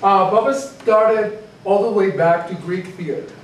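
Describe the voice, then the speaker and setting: A high-pitched male voice amid audible room echo and light background noise. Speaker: teacher. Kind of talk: lecture. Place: classroom. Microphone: camera far.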